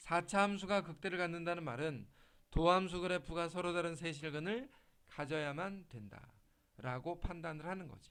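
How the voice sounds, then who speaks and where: This man has a bright, sharp tone and a high pitch. He moves at a moderate pace with ordinary pitch variation. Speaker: math tutor. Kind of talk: lecture. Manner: casual, informal.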